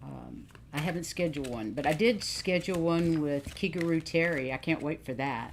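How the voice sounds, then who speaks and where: Moderate pace from a woman with a very deep, low voice and vocal fry. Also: ordinary pitch variation. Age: 70s. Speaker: spiritual show co-host, healer. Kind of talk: casual chat. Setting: live stream with chat.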